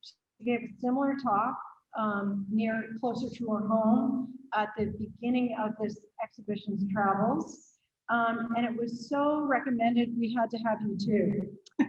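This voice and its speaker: With an American accent, a woman uses a normal speaking voice, fairly high in pitch, fairly slow and fairly even in intonation. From Pennsylvania. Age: 60s. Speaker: museum host. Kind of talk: speaker introduction.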